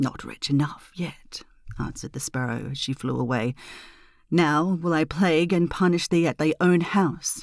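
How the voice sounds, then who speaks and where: In a very clean recording with a silent background, a woman speaks at a moderate pace in a very deep, low voice with ordinary pitch variation. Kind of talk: fairy tale reading; bedtime story.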